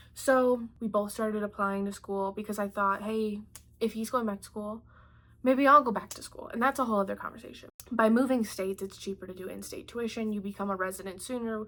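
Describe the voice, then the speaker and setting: A woman's fairly high voice at a fairly quick pace, an ordinary speaking voice with fairly even intonation and big swings in loudness. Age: 20s. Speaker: artist and vlogger. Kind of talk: personal vlog monologue. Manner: casual, conversational with fillers.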